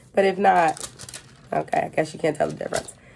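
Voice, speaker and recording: Fairly quick speech from a woman over noticeable background noise. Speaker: vlogger. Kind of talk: casual vlog update.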